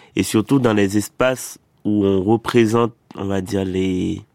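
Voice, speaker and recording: In a very clean recording with a silent background and a dry, close sound with no echo, a man talks at a very slow pace with a fairly low pitch and fairly even intonation. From Haiti, Port-au-Prince. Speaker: poet and playwright. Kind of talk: interview.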